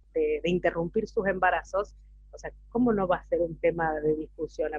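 Her intonation is lively as a woman with a plain, everyday voice speaks at a medium pitch. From Catamarca, Argentina. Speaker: legal clerk and feminist activist. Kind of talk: panel discussion.

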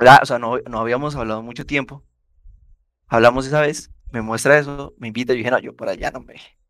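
A man at a medium pitch, fairly quick pace and monotone, flat intonation, with big swings in loudness. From Colombia, Bogotá and Yopal. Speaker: podcast host, sociology student. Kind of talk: casual chat.

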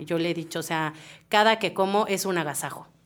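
A woman with a normal speaking voice talks at a moderate pace. Her pitch is fairly low, with ordinary pitch variation. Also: very clean recording, silent background. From Mexico, Querétaro. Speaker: podcast host, cook. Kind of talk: casual panel discussion.

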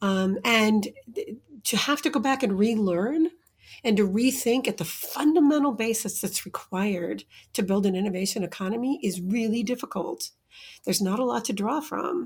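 Fairly high-pitched and somewhat breathy, a woman with an American accent talks at a moderate pace with lively intonation. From US Midwest (Iowa). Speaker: entrepreneurship researcher and report author. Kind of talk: interview conversation.

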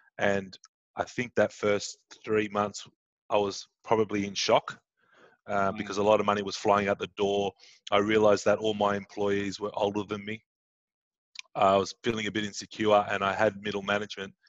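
A man with an Australian accent speaks at a moderate pace in a fairly low pitch, his flat, monotone delivery broken by long, frequent pauses, recorded dry and close with no echo against a quiet background. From Sydney, Australia. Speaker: entrepreneur and business coach. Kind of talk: interview. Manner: hesitant, many fillers.

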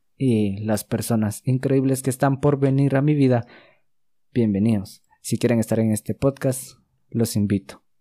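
A man's dark, mellow voice at medium pitch, fairly slow and fairly even in intonation, on a very clean recording with a silent background and a dry, close sound free of echo. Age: 20s. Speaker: podcast host. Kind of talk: solo monologue podcast.

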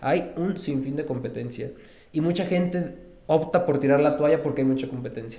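A man speaks at a moderate pace with a fairly high pitch and ordinary pitch variation. Audible room echo surrounds the voice. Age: 30s. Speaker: entrepreneur. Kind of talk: casual interview chat. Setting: studio.

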